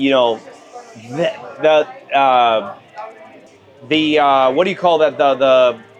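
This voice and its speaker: Over music in the background, a man with a fairly high voice speaks at a very slow pace with long, frequent pauses, very even loudness and ordinary pitch variation. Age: 40s. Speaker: political activist and actor. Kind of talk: casual conversation over a meal. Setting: restaurant. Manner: animated.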